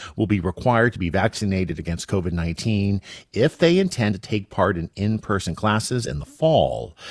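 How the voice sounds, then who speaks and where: An ordinary speaking voice from a man, fairly low in pitch with lively intonation and a fairly quick pace, in a dry, close sound with no echo on a very clean recording with a silent background. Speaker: radio news host. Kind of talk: news reading. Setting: studio.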